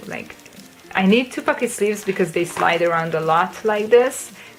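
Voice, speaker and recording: Noticeable background noise accompanies a voice with ordinary pitch variation. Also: woman. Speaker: kpop collector vlogger. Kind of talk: casual show-and-tell vlog. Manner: hesitant fillers, um and uh.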